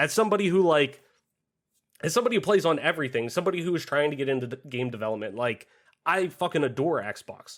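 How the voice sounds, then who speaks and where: Loud and very fast, a man with a fairly high pitch speaks in very wide pitch swings. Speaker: gaming podcast host. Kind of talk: casual chat. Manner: animated.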